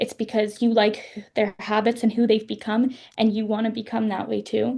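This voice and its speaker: Somewhat breathy and dark, mellow in tone, this voice moves at a moderate pace with a Canadian accent. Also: woman. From western Canada. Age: 20s. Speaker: author. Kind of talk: interview.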